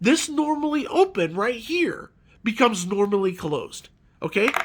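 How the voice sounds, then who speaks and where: In a very clean recording with a silent background, a raised, projected voice with a bright, sharp tone moves at a moderate pace through very wide pitch swings. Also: man. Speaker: electrical tutorial maker. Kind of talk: tutorial. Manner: casual.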